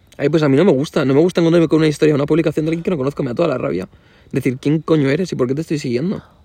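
A man at a very fast pace, fairly high in pitch, with a dark, mellow tone, ordinary pitch variation and a dry, close sound with no echo. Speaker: podcast co-host. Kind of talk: casual chat.

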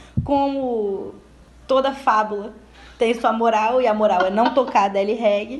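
A high-pitched woman, fairly slow in pace, with ordinary pitch variation. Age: 20s. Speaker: podcast host. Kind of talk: casual chat. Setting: at home.

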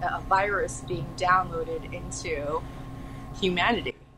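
Speaking at a fairly slow pace, a woman is heard over noticeable background noise and audible room echo. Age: 30s. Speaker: spiritual artist and astral traveler. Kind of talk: casual chat.

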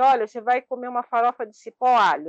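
A woman's high-pitched voice comes through with a dry, close sound and no echo. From Brazil, São Paulo. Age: 50s. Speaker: traveler with low vision. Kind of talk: interview.

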